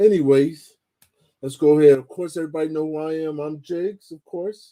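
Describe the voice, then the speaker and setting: Fairly high in pitch, a man speaks with a dark, mellow tone. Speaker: livestream host. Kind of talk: casual livestream chat. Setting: home livestream, late night. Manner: loud.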